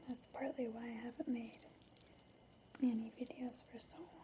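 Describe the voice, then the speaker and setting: Soft-spoken and high-pitched, a woman talks in a monotone, flat intonation over noticeable background noise. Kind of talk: ASMR ramble to camera.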